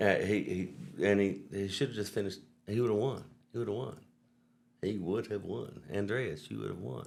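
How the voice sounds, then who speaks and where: A man's fairly low voice in a Southern US accent, with vocal fry, a fairly quick pace broken by long, frequent pauses, ordinary pitch variation, and audible room echo. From US South. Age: 50s. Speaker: vehicle wrap business owner. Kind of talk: casual chat.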